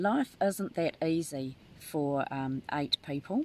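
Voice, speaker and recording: A woman speaks with a New Zealand accent. Her pitch is very deep and low. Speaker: tarot reader. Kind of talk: live stream chat. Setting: live video from a tent. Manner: halting.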